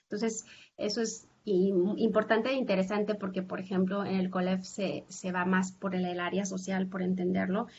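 The woman's voice is somewhat breathy, at a medium pitch. Her intonation stays monotone and flat. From Mexico, Zacatecas. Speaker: professor. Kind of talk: interview. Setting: video call. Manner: halting.

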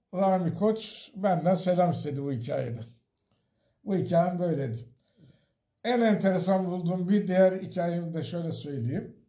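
Audible room echo surrounds a man with a high pitch and a dark, mellow tone. He moves at a fairly slow pace with ordinary pitch variation. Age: 60s. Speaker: retiree and memoir author. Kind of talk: storytelling interview.

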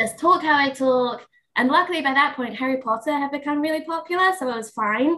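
Raised and projected, a woman's voice with an English accent sounds bright and sharp at a high pitch, moving at a fairly quick pace with ordinary pitch variation. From England, later lived in New York. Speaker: podcast guest, registered dietitian.

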